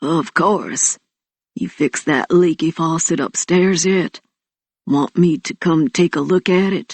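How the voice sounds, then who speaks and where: Putting on a character voice, a woman speaks fairly slowly in a raspy, fairly low register. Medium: read story. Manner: warm, friendly.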